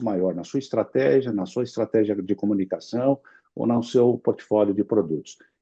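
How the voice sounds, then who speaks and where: Moderately paced male speech, ordinary pitch variation, background music underneath. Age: 60s. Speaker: insurance executive, longevity specialist. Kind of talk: interview.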